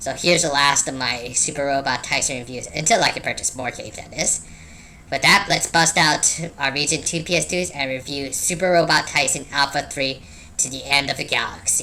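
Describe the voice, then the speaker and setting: Over clear background noise, a man speaks at a fairly quick pace in a put-on character voice pitched fairly high. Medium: solo performance. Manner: wry, casual.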